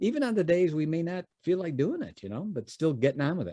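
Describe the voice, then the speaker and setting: With an American accent, a man speaks at a very fast pace. His pitch swings very widely. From US Midwest, Chicago. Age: 60s. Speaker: business founder and educator. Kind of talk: podcast interview, storytelling. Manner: halting, many fillers and repeats.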